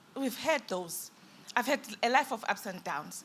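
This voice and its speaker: This woman's pitch swings very widely while she keeps a moderate tempo. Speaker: businesswoman panelist. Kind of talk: panel discussion.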